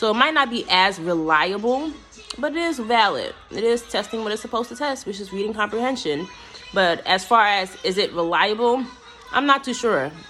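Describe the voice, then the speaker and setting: Music plays in the background beneath speech with lively intonation. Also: woman. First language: not English. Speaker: teacher and graduate student. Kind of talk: class video presentation. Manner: fast; casual, conversational.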